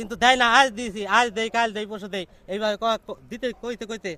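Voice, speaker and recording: A man with a high pitch projects a raised voice in a bright, sharp tone, with ordinary pitch variation. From Bangladesh, Tangail district. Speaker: villager in land dispute. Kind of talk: testimony.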